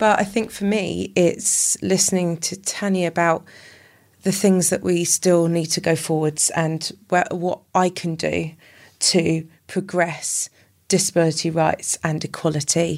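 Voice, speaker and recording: Someone with a Welsh accent speaks at a fairly slow pace with fairly even intonation. The recording is very clean with a silent background. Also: woman, fairly low pitch for a woman. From Wales, Llanelli. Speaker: army veteran and para athlete. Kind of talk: casual chat. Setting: House of Lords building.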